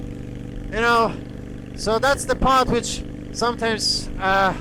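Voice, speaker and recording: The speaker has a Polish accent, and noticeable background noise runs under the voice. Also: man. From Poland. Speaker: motorcycle vlogger. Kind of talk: casual vlog monologue. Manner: halting.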